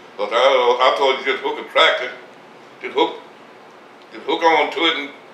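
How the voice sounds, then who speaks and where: A man's moderately paced speech carries audible room echo and noticeable background noise. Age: 80s+. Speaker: retired farmer. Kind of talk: interview. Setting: at home. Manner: halting.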